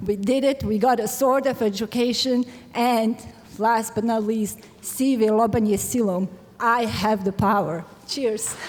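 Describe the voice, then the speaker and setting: With a Serbian accent, a woman speaks fairly slowly at a fairly high pitch, with fairly even intonation and very even loudness over noticeable background noise. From Bosnia. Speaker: graduating student. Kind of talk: commencement speech.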